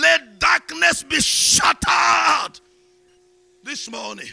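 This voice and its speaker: A man is shouting, with noticeable background noise. The sound is dry and close, with no echo. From Nigeria. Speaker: bishop preacher. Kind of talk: sermon. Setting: church.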